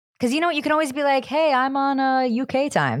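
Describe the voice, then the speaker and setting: In a very clean recording with a silent background, a woman with a high pitch talks at a fairly quick pace in an animated tone. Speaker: podcast co-host. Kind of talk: casual chat.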